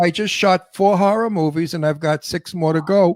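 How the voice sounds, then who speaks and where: A man with a New York accent speaks at a moderate pace in a high pitch with ordinary pitch variation. The recording is very clean with a silent background and a dry, close sound with no echo. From New York (Brooklyn). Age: 80s+. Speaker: actor. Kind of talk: casual chat. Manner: animated.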